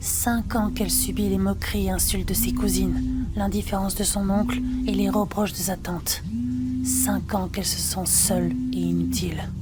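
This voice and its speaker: Softly spoken in a calm, soothing tone, the voice keeps a very even loudness and a moderate pace while music plays in the background. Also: woman. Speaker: ASMR storyteller. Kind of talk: ASMR bedtime story reading. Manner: soft-spoken, calm, soothing.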